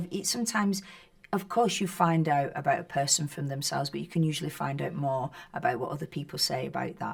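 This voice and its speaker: A woman speaks very fast with a Northern English accent. Her pitch is fairly low, with ordinary pitch variation. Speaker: actress. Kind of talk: interview answer. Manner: casual, conversational.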